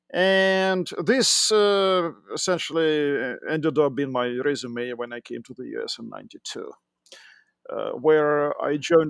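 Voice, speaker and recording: A man talks in a Russian accent. The recording is very clean, with a silent background. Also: big swings in loudness. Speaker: tech entrepreneur and engineering manager. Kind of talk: podcast interview. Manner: hesitant, with fillers.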